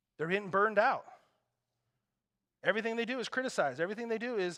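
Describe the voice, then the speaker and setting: A man's high, bright, sharp voice, animated, raised and projected. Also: long, frequent pauses. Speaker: pastor. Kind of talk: sermon.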